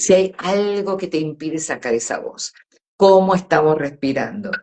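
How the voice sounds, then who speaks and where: Fairly slow speech from a woman with a medium pitch. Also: ordinary pitch variation. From Argentina, Córdoba. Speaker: voice coach. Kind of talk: interview on a live stream. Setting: live video stream.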